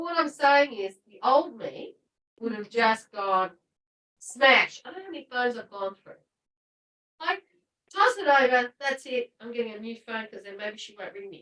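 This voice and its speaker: At a moderate pace, the animated delivery shows very wide pitch swings and big swings in loudness, with long, frequent pauses. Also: woman, high pitch for a woman. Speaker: retreat participant. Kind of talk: personal sharing in group.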